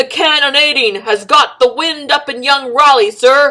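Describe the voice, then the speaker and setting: At a moderate pace, a woman uses a put-on character voice pitched high. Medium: read story. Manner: deferential, anxious.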